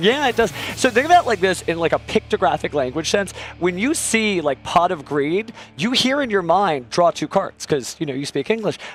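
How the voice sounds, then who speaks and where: Noticeable background noise sits behind a man with a high pitch, talking at a fairly quick pace. His tone is animated, with very wide pitch swings. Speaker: tournament commentator. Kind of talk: live commentary. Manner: fast.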